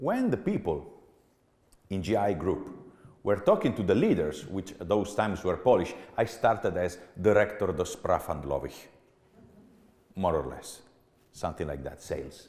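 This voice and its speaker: With an Italian accent, a man talks at a moderate pace in a fairly low, somewhat breathy voice with ordinary pitch variation, long and frequent pauses, and audible room echo. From Italy. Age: 40s. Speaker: business executive. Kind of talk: keynote talk. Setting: stage with audience. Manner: animated.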